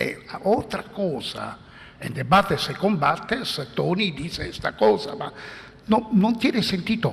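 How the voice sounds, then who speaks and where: A man talks very slowly at a high pitch, with an Italian accent. Noticeable background noise runs underneath. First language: Italian (speaking Spanish). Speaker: philosopher. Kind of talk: conference talk. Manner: halting.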